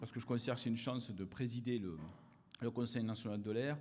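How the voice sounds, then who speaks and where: The speaker, with an Occitanie accent, is heard with audible room echo. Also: man. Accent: southern French (Occitanie). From southern France, Aveyron. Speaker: politician, former research chemist. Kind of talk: conference opening speech. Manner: hesitant, many fillers.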